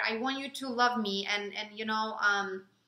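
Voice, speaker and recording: Speaking at a moderate pace, a woman with a Ukrainian accent has a fairly high pitch and a bright, sharp tone. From Ukraine. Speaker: relationship vlogger. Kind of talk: casual chat.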